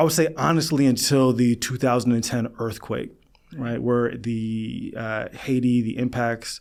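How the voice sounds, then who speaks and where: Speaking fairly slowly in a New York accent, the voice keeps a fairly even intonation. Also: man, medium pitch for a man. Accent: New York area American. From US Northeast, Long Island, New York. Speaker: psychologist. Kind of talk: podcast interview.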